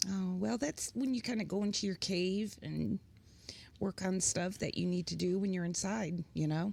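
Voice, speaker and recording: The voice has a dark, mellow tone and a Midwestern US accent. It keeps a very even loudness and a moderate pace, with ordinary pitch variation. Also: woman, medium pitch for a woman. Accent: US Midwest. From US Midwest, Pontiac, Michigan and Kansas. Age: 60s. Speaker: musician and writer. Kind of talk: casual chat. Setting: studio.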